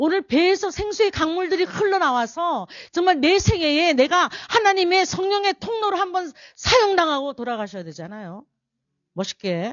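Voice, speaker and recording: The tone is animated, and the pitch swings very widely. The pace stays moderate. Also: woman, extremely high pitch for a woman. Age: 60s. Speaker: pastor. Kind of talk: sermon.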